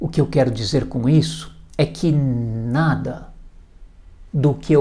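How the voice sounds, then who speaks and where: A man with a São Paulo accent speaks very slowly in a somewhat breathy, fairly high voice with a dark, mellow tone. His pitch varies in an ordinary way, and the room echo is audible. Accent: Brazilian Portuguese, paulistano. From Brazil, São Paulo city. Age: 60s. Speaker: hypnotherapist. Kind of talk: video presentation. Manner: formal.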